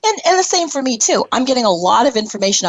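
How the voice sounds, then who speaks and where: A woman talks at a very fast pace with noticeable background noise. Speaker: internet radio talk show host. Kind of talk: casual chat. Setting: live internet radio show.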